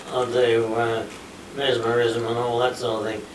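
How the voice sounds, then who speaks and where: At a moderate pace, a man with an Australian accent speaks amid audible room echo and light background noise. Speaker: war veteran. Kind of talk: interview answer. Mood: relaxed reminiscing storytelling. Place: meeting room. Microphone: camera far.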